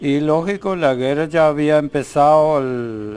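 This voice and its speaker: Very slow speech from a man, fairly high in pitch, its pitch varying in an ordinary way. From Ukraine, German colonies. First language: German (speaking Spanish). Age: 80s+. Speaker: elderly immigrant interviewee. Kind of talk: TV interview. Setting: TV studio. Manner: halting.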